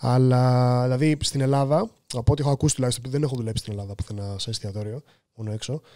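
A man's dark, mellow tone at a very fast pace over a quiet background. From Greece. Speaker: professional chef; podcast guest. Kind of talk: casual chat. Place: studio. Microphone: studio mic.

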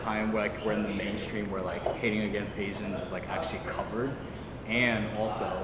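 Over loud background noise, a man with an American accent speaks at a moderate pace. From Portland, US Pacific Northwest. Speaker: youtube interviewer. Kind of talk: casual interview chat. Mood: animated, gesturing. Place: studio.

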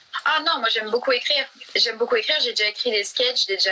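A woman speaks with ordinary pitch variation. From Franche-Comté, France. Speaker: actress and photo model. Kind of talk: casual interview chat. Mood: relaxed, friendly. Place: home room. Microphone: phone near.

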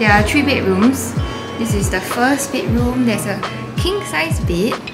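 The speech moves at a fairly slow pace. Loud music plays in the background. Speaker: travel vlogger. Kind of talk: casual vlog chat. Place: home room. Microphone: phone near.

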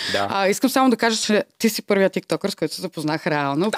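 A woman speaks over a quiet background at a moderate pace. Her pitch makes very wide swings. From Bulgaria, Varna; Bulgaria. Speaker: podcast host. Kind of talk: casual interview chat. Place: studio. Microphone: studio mic.

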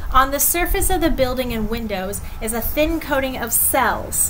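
With light background noise behind her, a woman speaks at a moderate pace with ordinary pitch variation. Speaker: teacher reading to students. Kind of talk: read-aloud with commentary. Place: garden. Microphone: webcam.

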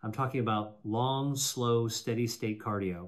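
A man talks at a moderate speed, pitch varying ordinarily, over a quiet background. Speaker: presenter. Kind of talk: scripted health talk to camera. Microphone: studio mic.

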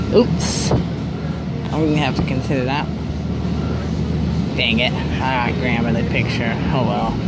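Fairly slow speech from a man, backed by music. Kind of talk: casual vlog commentary. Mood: playful, amused. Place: train. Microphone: phone near.

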